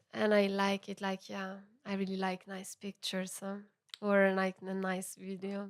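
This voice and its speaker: With an Italian accent, a woman speaks fairly slowly at a medium pitch in a monotone, flat intonation, the sound dry and close with no echo. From Italy, Milan. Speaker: musician. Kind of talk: podcast interview. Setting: recorded at venue. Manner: halting.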